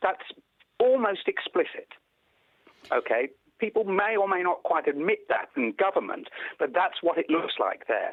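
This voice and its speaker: With an English accent, a man talks at a moderate pace and very even loudness, stopping for long, frequent pauses. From England. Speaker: pediatrician. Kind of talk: news interview.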